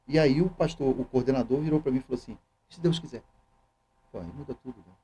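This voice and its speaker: A man with a dark, mellow tone sounds somewhat breathy, his loudness swinging widely between long, frequent pauses. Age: 60s. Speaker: seminarian and church youth coordinator. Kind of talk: casual interview chat.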